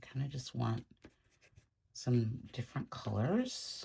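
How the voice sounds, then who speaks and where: The tone is dark and mellow. There is a somewhat breathy quality to the voice. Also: woman. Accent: American. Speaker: art tutorial creator. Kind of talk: tutorial. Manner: casual, thinking aloud.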